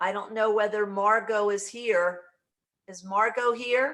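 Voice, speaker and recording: A woman with an unremarkable speaking voice talks at a moderate pace in a fairly high pitch, her intonation fairly even. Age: 60s. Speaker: brand partner in direct sales. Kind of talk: casual video call chat.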